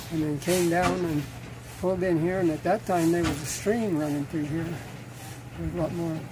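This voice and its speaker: A man talks at a moderate pace while noticeable background noise fills the recording. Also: ordinary pitch variation. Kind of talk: interview answer. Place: open country.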